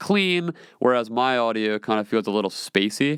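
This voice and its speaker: Recorded with a dry, close sound with no echo and a very clean recording, silent background, a man of medium pitch talks at a moderate pace with lively intonation. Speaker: podcast host. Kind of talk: solo podcast Q&A monologue. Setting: small home recording room. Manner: loud; casual, filler-heavy.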